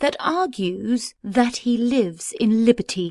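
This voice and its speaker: Putting on a character voice, a woman speaks at a fairly slow pace in a fairly high pitch with lively intonation. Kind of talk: Elizabethan verse drama. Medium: audio drama.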